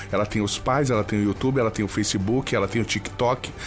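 Noticeable background noise accompanies speech delivered at a fairly quick clip. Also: man. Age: 40s. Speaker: brain trainer / coach. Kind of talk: casual interview chat.

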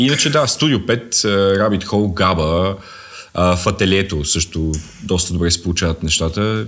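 With an ordinary speaking voice, a man talks at a moderate pace, his fairly low pitch showing ordinary variation and his loudness staying very even. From Bulgaria, Sofia. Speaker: stand-up comedian. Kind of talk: casual chat.

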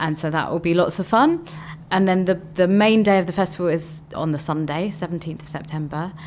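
Speaking fairly quickly in a plain, everyday voice, a woman keeps her intonation fairly even at a fairly low pitch. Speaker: festival co-director. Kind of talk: radio interview.

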